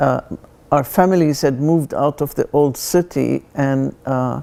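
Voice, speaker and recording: The speaker talks at a very slow pace, with ordinary pitch variation. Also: woman. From Palestine, Jerusalem and Jaffa. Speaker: artist. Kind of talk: interview testimony. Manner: halting, many fillers.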